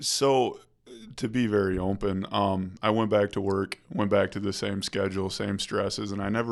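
A plain, everyday voice speaks at a moderate pace with fairly even intonation. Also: man. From Michigan, rural area near Kalamazoo. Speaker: rehab resident in addiction recovery. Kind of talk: casual interview about recovery.

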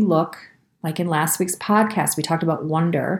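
With a calm, gentle tone, a woman speaks at a moderate pace and a fairly low pitch. Her voice is somewhat breathy, with ordinary pitch variation. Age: 40s. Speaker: podcast host and health practitioner. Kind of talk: reflective wellness talk with guided practice; guided meditation.

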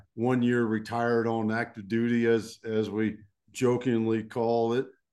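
The speaker has a Texan accent. The background is quiet. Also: man. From Texas. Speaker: leadership coach and retired army officer. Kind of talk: interview.

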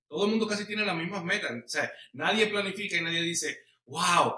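With ordinary pitch variation, a man speaks at a fairly quick pace in a high pitch. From Puerto Rico. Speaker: pastor. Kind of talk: casual interview.

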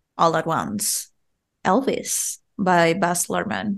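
A woman speaks at a medium pitch with a Spanish accent. Her pace is very slow against a quiet background. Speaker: podcast host. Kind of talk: casual chat.

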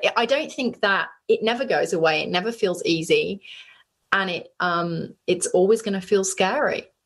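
This woman speaks with a British accent. Her pace is moderate. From UK. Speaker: business founder and CEO. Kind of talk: interview. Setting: video call from bedroom.

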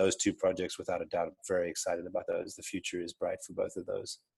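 With a South African accent, a man talks very fast, the sound dry and close with no echo. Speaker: entrepreneur. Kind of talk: interview. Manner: hesitant, many fillers.

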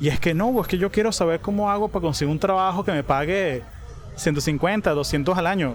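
A man talks at a moderate pace in a high pitch with ordinary pitch variation. His loudness stays very even. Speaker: podcast host. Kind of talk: casual chat. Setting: cafe.

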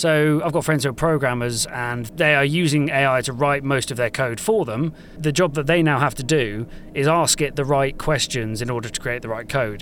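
This is a man in an ordinary speaking voice, fairly high in pitch. He keeps a moderate pace with ordinary pitch variation. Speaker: audio equipment product specialist. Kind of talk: casual interview. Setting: booth at live podcast show.

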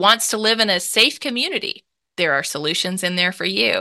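A woman's bright, sharp voice in a Southern US accent, fairly quick, with ordinary pitch variation and a quiet background. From Mississippi, US South. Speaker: nonprofit founder and author. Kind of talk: interview.

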